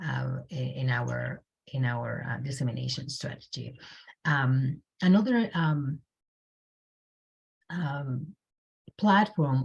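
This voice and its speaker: Speaking at a very slow pace in a Spanish accent, a woman has a very deep, low pitch and a somewhat breathy voice. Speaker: community health researcher. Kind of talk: panel presentation. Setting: video call. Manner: halting, many fillers and repeats.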